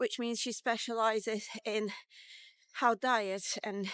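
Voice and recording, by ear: A woman speaks with a fairly bright tone. Her pitch varies in an ordinary way.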